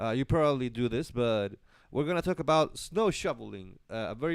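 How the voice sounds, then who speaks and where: A man with a Spanish accent talks at a fairly quick pace in a very clean recording with a silent background. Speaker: live stream host. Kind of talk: live stream monologue. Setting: live stream. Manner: halting, many fillers and self-corrections.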